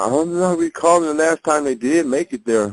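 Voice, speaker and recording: In a dry, close sound with no echo, a man with a fairly high pitch and an unremarkable speaking voice talks at a fairly slow pace with lively intonation. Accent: American. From northern Indiana (Hammond). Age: 50s. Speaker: former college basketball player. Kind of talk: oral history interview. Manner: casual.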